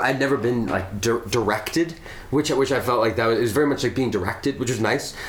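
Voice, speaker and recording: A man's voice with noticeable background noise. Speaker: musician. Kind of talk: casual conversation. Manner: halting.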